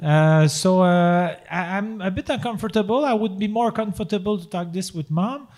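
A man with a Quebec accent speaks in a high voice, with hardly any pauses. The recording is very clean, with a silent background. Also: ordinary pitch variation, moderate pace. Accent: Québécois French accent in English. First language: French. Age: 40s. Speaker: podcast host. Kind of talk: live comedy podcast with improv. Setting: stage with audience. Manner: halting.

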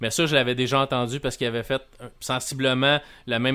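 Talking at a very fast pace, a man has a Quebec accent. His pitch is medium. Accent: Québécois French. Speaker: podcast host, video game reviewer. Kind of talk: casual chat and interview.

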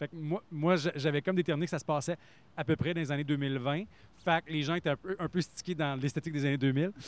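A man speaks in a plain, everyday voice, fairly high in pitch, at a fairly quick pace with fairly even intonation. The recording is very clean with a silent background and a dry, close sound with no echo. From Quebec. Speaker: actor, author and radio announcer. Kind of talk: casual chat.

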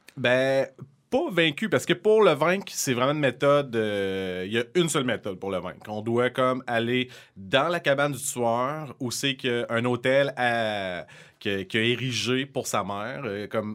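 A man with a medium pitch and lively intonation is heard on a very clean recording against a silent background. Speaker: podcast co-host. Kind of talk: casual chat.

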